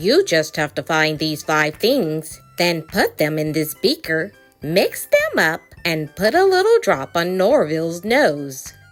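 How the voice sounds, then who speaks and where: Over faint background music, a woman uses a put-on character voice, fairly low in pitch, and speaks at a fairly slow pace. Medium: read story. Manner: helpful, matter-of-fact.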